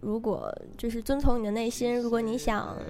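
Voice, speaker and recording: Dark and mellow in tone, a woman with a fairly high pitch talks at a moderate pace. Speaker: undergraduate student abroad. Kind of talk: casual chat.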